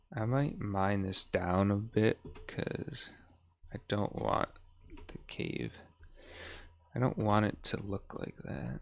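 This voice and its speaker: At a very slow pace with long, frequent pauses, a man talks at fairly low pitch with ordinary pitch variation. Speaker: gaming streamer. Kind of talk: live gaming stream chat. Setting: live stream.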